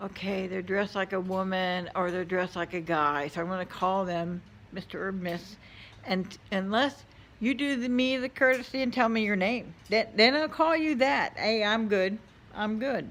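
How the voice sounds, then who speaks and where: At a moderate pace, a woman speaks in a plain, everyday voice, her pitch medium and her intonation lively. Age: old. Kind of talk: casual opinion rant to camera. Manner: blunt, exasperated.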